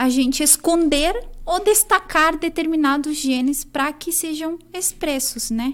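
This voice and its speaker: In a Chilean accent, a woman speaks at a very slow pace with ordinary pitch variation in a very clean recording with a silent background. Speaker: nutritionist. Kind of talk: academic interview.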